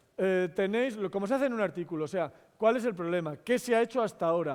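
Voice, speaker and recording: Talking at a very fast pace, this man has a high pitch. His pitch swings are very wide. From Spain, La Rioja. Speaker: mathematician and science communicator. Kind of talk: public lecture. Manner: animated.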